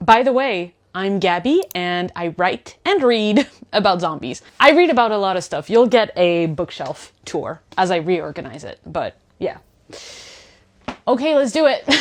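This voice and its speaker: Speaking in a French accent, a woman with medium pitch goes at a fairly slow pace, her pitch swinging very widely. Her loudness shifts in big swings against a quiet background. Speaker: booktuber. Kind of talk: casual vlog chat.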